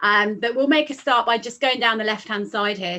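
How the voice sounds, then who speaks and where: A woman with a British accent talks at a fairly quick pace in a bright, sharp tone, her pitch fairly high. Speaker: financial adviser. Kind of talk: software demo tutorial. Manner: fast.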